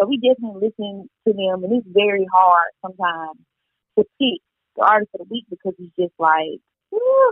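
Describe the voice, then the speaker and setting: In a Southern US accent, a woman speaks at a fairly quick pace and medium pitch, with ordinary pitch variation and big swings in loudness. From Mississippi. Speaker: radio co-host and entertainment reporter. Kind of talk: casual interview.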